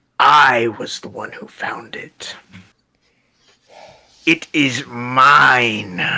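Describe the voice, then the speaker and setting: Using a put-on character voice, a man speaks raspily at medium pitch and a very slow pace, with long, frequent pauses. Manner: evil, menacing, possessive.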